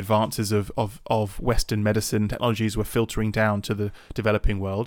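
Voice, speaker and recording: On a very clean recording with a silent background, a man with a British accent speaks at a moderate pace in a fairly low pitch with monotone, flat intonation. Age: 30s. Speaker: podcast co-host. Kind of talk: casual chat.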